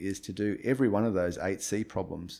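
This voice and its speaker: A man with an Australian accent talks at a moderate pace and medium pitch, with ordinary pitch variation. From Australia, Brisbane. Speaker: retired rock climber and entrepreneur. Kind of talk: interview. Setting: at his home. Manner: halting.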